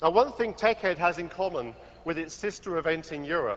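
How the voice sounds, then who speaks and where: With a British accent, a man speaks at a high pitch and a moderate pace. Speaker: tech company executive. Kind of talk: conference keynote opening. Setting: stage with audience.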